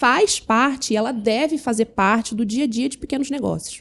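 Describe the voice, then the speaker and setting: A woman speaks at a moderate pace in an energetic tone. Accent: Rio de Janeiro. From Rio de Janeiro, Brazil. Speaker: business consultant. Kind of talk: podcast interview.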